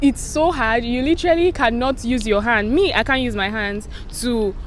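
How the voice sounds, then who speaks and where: With an animated tone and a high pitch, a woman talks at a moderate pace with ordinary pitch variation over noticeable background noise. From Nigeria, Benue State (Makurdi). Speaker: vlogger. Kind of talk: casual vlog talk.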